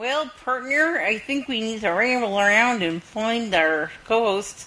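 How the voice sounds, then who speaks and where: A female-sounding voice puts on a character voice, pitched fairly high. The pace is fairly slow. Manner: jokey, pretending.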